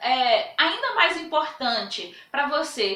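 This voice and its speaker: A woman raises and projects her voice in an animated tone, with audible room echo around her. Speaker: Bible teacher. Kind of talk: lecture.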